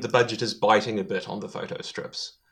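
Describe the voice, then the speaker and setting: A man with a New Zealand accent and a bright, sharp tone. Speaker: podcaster, guest. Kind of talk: casual chat.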